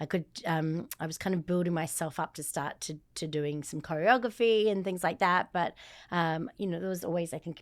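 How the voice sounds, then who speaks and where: Fairly low in pitch, a woman talks at a moderate pace. Her pitch variation is ordinary. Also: very clean recording, silent background. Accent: Australian. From Australia. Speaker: former dancer turned fitness entrepreneur. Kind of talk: interview conversation.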